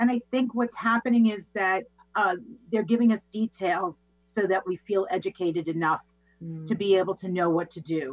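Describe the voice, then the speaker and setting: Talking at a moderate pace in a New York accent, a woman of medium pitch shows ordinary pitch variation, the sound dry and close with no echo. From Long Island, New York. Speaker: positivity coach and business owner. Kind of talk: casual interview. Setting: video call.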